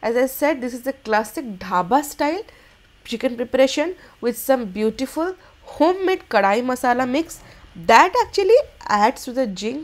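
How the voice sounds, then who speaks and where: With an Indian accent, a woman talks in a high voice whose pitch swings very widely. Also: moderate pace. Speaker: cooking channel host. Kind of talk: cooking tutorial. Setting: kitchen. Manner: animated, enthusiastic.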